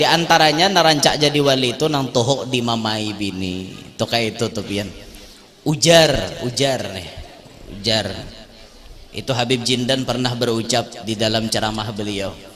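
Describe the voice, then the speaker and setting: With a South Kalimantan accent, a man speaks at a medium pitch and a moderate pace, his pitch varying in an ordinary way. Noticeable background noise and audible room echo are present. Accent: Banjarese Indonesian. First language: Banjarese (speaking Indonesian). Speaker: Islamic preacher. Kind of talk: humorous sermon. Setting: mosque. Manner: animated.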